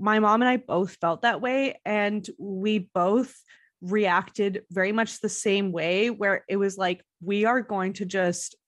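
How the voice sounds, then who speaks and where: Against a quiet background, a woman with an American accent talks at medium pitch. Her intonation is fairly even and her pace fairly slow. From Montreal, Quebec. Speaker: guest. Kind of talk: casual chat.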